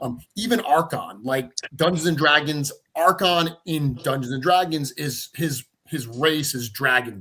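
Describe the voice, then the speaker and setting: A man with a Rhode Island accent, fairly high in pitch, with a bright, sharp tone, ordinary pitch variation and a fairly slow pace. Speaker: toy company creator. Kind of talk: casual chat.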